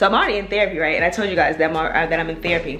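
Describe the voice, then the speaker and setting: Noticeable background noise and audible room echo around a woman speaking in an American accent. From Virginia, US. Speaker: lifestyle vlogger and real estate agent. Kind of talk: casual vlog monologue. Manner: fast-talking; rambling with many fillers and repetitions.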